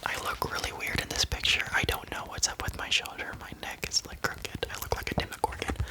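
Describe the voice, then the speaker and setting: Noticeable background noise sits behind a man who is whispering. His pace is moderate. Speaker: ASMR creator. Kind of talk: ASMR whisper ramble to camera. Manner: whispered, intimate, soft-spoken.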